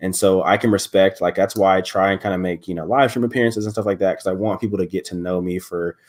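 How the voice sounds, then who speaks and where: The recording is very clean, with a silent background. A man talks at a very fast pace with hardly any pauses, his fairly low pitch held to fairly even intonation. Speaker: content creator and college student. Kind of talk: casual chat. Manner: occasional stutter.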